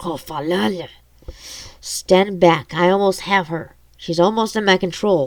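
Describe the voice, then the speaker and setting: The put-on character voice sits at a middle pitch. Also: moderate pace. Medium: read story.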